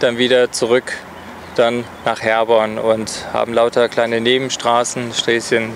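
A fairly slow, monotone, flat delivery over faint background noise. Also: man.

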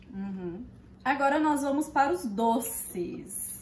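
There is light background noise and audible room echo as a woman speaks in a somewhat breathy voice. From Minas Gerais, Brazil. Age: 20s. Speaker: vlogger. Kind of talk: casual talk to camera, food tasting. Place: kitchen. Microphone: phone near.

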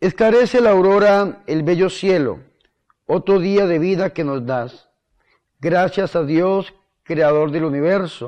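Against a quiet background, a man with a high pitch speaks very slowly with ordinary pitch variation. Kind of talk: sermon. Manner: earnest, fervent preaching; direct, exhortative address. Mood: devout, fervent.

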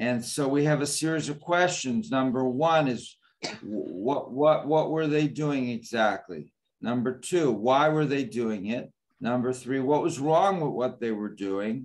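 Ordinary pitch variation marks the way this man speaks. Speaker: rabbi teaching a class. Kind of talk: lecture. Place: home room. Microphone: video call.

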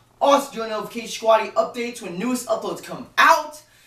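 The speaker goes at a fairly quick pace over noticeable background noise. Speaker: gaming YouTuber. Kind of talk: video outro.

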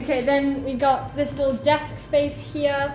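Through audible room echo and light background noise, a woman with a high pitch speaks at a moderate pace. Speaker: travel vlogger. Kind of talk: casual vlog chat. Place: home room. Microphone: phone near.

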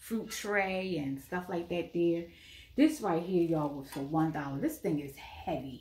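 Against audible room echo, a woman with a fairly low voice talks at a fairly slow pace with ordinary pitch variation. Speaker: thrift haul vlogger. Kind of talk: casual vlog chat. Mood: cheerful, pleased. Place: home room. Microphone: phone near.

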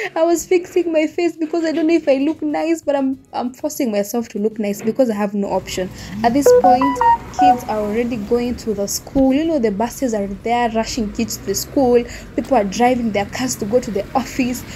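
A woman with a high voice speaks at a fairly quick pace and with lively intonation while music plays in the background. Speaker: vlogger. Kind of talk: casual vlog chat. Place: street. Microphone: phone near.

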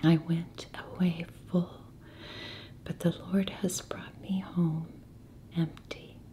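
A woman whispers in a soft-spoken, somewhat breathy way. Her pace is very slow, with light background noise behind her. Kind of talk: scripture reading. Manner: soft-spoken, whispered. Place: home room.

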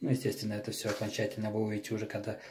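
A man speaks in a dark, mellow tone that is somewhat breathy, with light background noise. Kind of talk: tutorial. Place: bathroom. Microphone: phone near.

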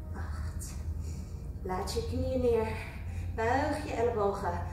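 The speech moves at a very slow pace. Audible room echo and light background noise are present. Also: woman. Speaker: fitness instructor. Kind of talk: workout class instruction. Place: gym.

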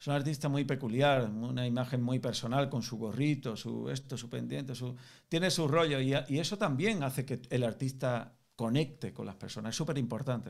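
With ordinary pitch variation and a moderate pace, a man talks while the background stays quiet. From Spain. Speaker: music business coach. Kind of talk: online group Q&A mentoring session. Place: home room.

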